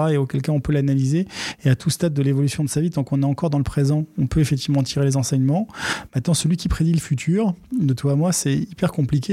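Speaking at a very fast pace, a man has a fairly high pitch with ordinary pitch variation. His voice is somewhat breathy, with a dark, mellow tone. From Paris suburbs, Seine-Saint-Denis (Aubervilliers). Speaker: entrepreneur, data center company CEO. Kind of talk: interview.

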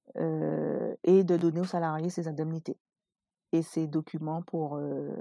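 Speech comes at a very slow pace in a dry, close sound with no echo. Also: woman. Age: 30s. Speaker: entrepreneur and mother. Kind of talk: personal testimony.

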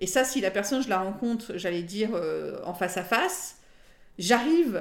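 Her intonation lively, a woman speaks at a fairly high pitch and moderate pace. It is a normal speaking voice. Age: 40s. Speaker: lawyer. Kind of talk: casual interview.

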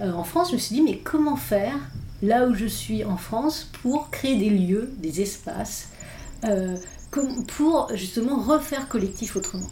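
A woman's fairly high voice moves with lively intonation amid audible room echo. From Irish mother, multilingual upbringing. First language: English (speaking French). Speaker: philosopher and author. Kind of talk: interview conversation. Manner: halting, many hesitations.

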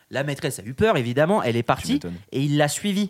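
A man with an unremarkable speaking voice, lively intonation and a fairly quick pace, on a very clean recording with a silent background. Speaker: podcast host. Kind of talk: casual chat. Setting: live from hotel at ski resort.

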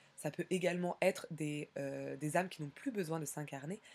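Her pitch very deep and low, a woman speaks at a fairly slow pace with fairly even intonation. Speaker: podcast host. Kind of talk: solo podcast monologue. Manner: hesitant, many fillers.

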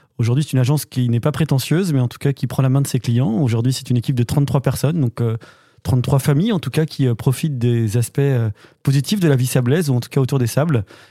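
Talking very fast at a medium pitch, a man sounds somewhat breathy with a dark, mellow tone and ordinary pitch variation, the sound dry and close with no echo. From western France (Normandy, then Angers). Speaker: business club director, former radio co-host. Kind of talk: casual chat.

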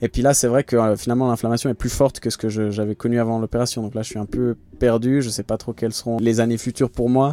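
A man talks very fast in a flat, monotone delivery at a medium pitch. His tone is dark and mellow, and the sound is dry and close with no echo. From Switzerland, Geneva. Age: 30s. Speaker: professional triathlete. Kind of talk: interview. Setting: in a van.

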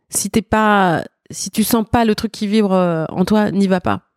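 A woman at medium pitch talks at a very slow pace with fairly even intonation, recorded dry and close with no echo. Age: 50s. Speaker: backing singer and lyricist. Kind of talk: interview. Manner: halting.

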